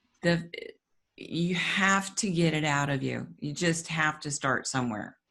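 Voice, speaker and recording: A woman talks at a fairly slow pace in a very deep, low pitch, her bright, sharp tone carrying vocal fry and ordinary pitch variation. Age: 60s. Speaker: author and abuse survivor. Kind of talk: interview. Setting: podcast.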